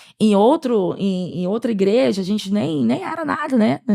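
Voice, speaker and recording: A woman with an animated tone and lively intonation at a moderate pace. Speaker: church podcast co-host. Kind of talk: testimony.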